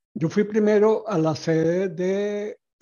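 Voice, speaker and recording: A man's voice with fairly even intonation. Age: 60s. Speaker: graphic designer and artist. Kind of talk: interview.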